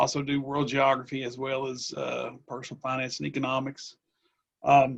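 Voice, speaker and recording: A man with a Southwest Virginia accent talks at a moderate pace and medium pitch, his intonation monotone and flat. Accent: Southwest Virginia Appalachian. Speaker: history teacher. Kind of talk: self-introduction.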